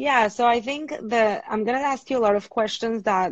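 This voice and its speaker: The woman's fairly high voice moves at a moderate pace with ordinary pitch variation. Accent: Venezuelan. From Venezuela. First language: Spanish. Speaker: marriage and family therapist. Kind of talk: interview on a live stream.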